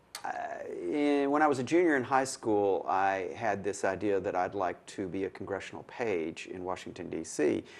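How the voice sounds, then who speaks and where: Over noticeable background noise, a man with a Tennessee accent talks at a medium pitch and a moderate pace, with lively intonation. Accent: Southern US (Tennessee). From Middle Tennessee (Manchester). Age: 60s. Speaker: retired lawyer. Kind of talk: oral history interview. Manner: hesitant, with fillers.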